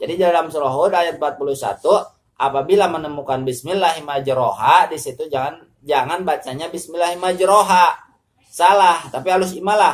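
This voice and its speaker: A man talks at a fairly quick pace in a high voice with a West Javanese accent. His pitch varies an ordinary amount. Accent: Sundanese. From West Java, Sundanese. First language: Sundanese (speaking Indonesian). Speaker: Quran recitation teacher. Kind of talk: religious tutorial. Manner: halting.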